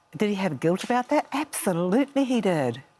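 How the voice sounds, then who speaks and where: A woman's voice with a New Zealand accent at a moderate pace, full of very wide pitch swings. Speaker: author. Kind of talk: TV interview.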